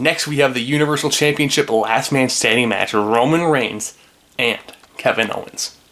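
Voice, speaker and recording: There's noticeable background noise as a man talks at a moderate pace with fairly even intonation. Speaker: wrestling YouTuber. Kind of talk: solo commentary video. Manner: casual.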